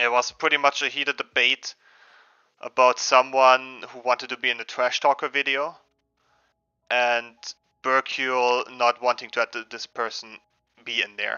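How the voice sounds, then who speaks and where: A man with a slight German accent speaks at a medium pitch in a monotone, flat intonation, at a moderate pace with long, frequent pauses and big swings in loudness. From Germany. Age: 20s. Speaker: gaming streamer. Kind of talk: casual live stream chat. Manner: halting, many repetitions and fillers.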